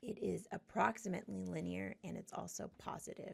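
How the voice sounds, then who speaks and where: The voice has vocal fry and very wide pitch swings. It moves at a moderate pace. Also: woman. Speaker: statistics lecturer. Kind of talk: lecture.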